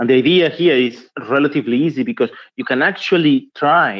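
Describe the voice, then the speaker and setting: In a Spanish accent, a man with a fairly high pitch speaks at a moderate pace with ordinary pitch variation. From Spain. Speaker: trade union policy officer. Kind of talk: conference talk. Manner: hesitant, with fillers and restarts.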